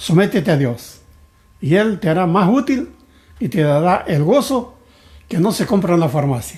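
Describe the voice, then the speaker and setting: A man's high pitch with very wide pitch swings at a fairly slow pace. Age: 80s+. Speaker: pastor. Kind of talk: sermon.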